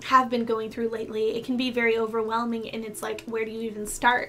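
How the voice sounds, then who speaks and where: A woman talks at a fairly quick pace and fairly high pitch, with noticeable background noise. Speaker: tarot reader. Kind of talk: tarot reading. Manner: fast.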